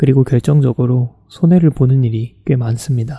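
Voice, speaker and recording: A man with a dark, mellow, somewhat breathy tone talks at a moderate pace and medium pitch, his intonation fairly even, in a dry, close sound with no echo. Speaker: graduate student vlogger. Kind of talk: reflective vlog narration.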